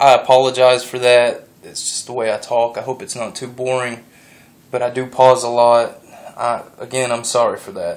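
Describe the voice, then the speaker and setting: Against noticeable background noise, a man's voice shows big swings in loudness. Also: moderate pace. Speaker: gun enthusiast youtuber. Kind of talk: tutorial. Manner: halting, pauses a lot.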